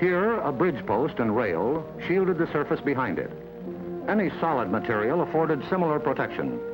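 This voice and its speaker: Over music in the background, a man with an American accent talks at a fairly quick pace in a fairly high voice, his pitch swinging very widely while his loudness stays very even. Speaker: narrator. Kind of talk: government educational film narration. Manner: authoritative, measured.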